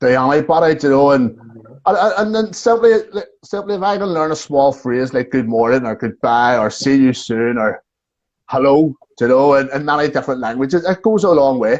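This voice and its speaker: A man talks with a Belfast accent at a fairly quick pace. His pitch is fairly high and his intonation lively. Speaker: tour guide. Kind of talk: casual chat. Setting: video call. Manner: talkative.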